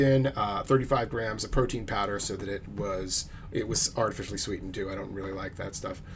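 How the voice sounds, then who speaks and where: A man speaks at a fairly quick pace with fairly low pitch and ordinary pitch variation, with audible room echo. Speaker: fitness vlogger. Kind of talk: casual monologue vlog. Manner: fast; hesitant with fillers.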